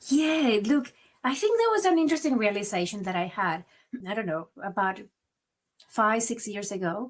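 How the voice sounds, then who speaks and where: With a strong Venezuelan accent, a woman talks at a moderate pace in a fairly high, somewhat breathy voice, leaving long, frequent pauses. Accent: marked Venezuelan Spanish. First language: Spanish. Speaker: migrant advocate and author. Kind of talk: interview. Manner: occasional stammered repeats.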